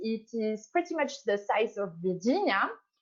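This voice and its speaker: In a French accent, a woman speaks at a fairly slow pace, her pitch swinging very widely. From Switzerland, French-speaking. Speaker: science diplomat. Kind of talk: interview.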